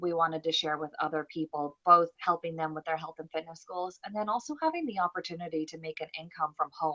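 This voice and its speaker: A woman's fairly low, bright, sharp voice at a fairly quick pace in a dry, close sound with no echo. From Northern Ireland. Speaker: network marketing fitness coach. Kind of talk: recruitment presentation on live stream. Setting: live video stream.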